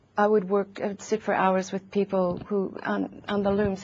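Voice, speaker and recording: In an American accent, a woman speaks at a moderate pace with monotone, flat intonation. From USA. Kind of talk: interview. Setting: TV studio. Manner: hesitant, many fillers.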